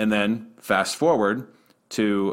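In an ordinary speaking voice, a man talks fairly slowly with a fairly low pitch and ordinary pitch variation. The recording is very clean, with a silent background. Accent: American. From Western Pennsylvania. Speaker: arena public address announcer. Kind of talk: casual interview.

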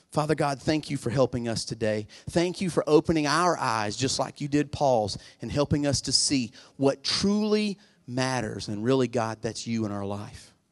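Against a quiet background, a man speaks at a moderate pace and medium pitch. His is an unremarkable speaking voice with lively intonation. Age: 40s. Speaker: pastor. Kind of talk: sermon. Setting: church with congregation. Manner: urgent, fervent preacher in full flow, pleading altar call; casual, conversational, self-deprecating and humorous.

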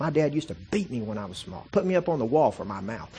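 A man with an animated tone, vocal fry, very wide pitch swings and a very fast pace. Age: 40s. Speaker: guest preacher and missionary. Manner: emphatic, punchy preacher cadence with repetitions and colloquial asides; animated, rising intensity while building an argument.

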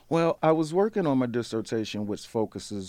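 A man's dark, mellow voice with an American accent, on a very clean recording with a silent background. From US Midwest, St. Louis, Missouri. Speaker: literature scholar, conference organizer. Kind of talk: interview.

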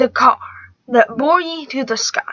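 Raised and projected, a woman's high-pitched voice comes through with a dry, close sound and no echo. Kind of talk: poem reading aloud, then casual commentary. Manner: halting, stumbling over old words, self-correcting; amateur, conversational, uneven.

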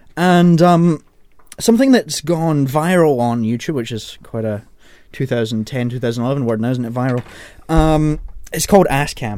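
The speaker is a man with lively intonation. He talks at a fairly slow pace. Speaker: radio presenter. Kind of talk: radio DJ patter, casual on-air banter with co-hosts, introducing songs and the panel. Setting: radio studio. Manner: chatty and self-correcting, stumbles and laughs at his own slips, easygoing and jokey; informal, rambling asides, teasing co-hosts.

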